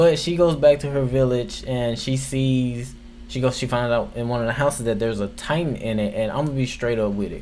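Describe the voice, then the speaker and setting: Medium-pitched male speech at a fairly quick pace, with ordinary pitch variation and audible room echo. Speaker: anime reviewer. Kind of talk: casual video review. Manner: casual, filler-heavy.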